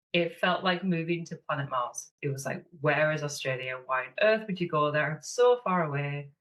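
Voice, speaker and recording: The speaker has a northeast English accent and lively intonation. The pace is moderate. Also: woman. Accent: northeast English (Sunderland). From northeast England, Sunderland. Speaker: online business manager and mentor. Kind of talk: podcast interview.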